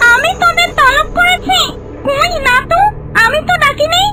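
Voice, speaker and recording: A woman's cartoonish character voice at an extremely high pitch. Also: moderate pace. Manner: scolding, scornful.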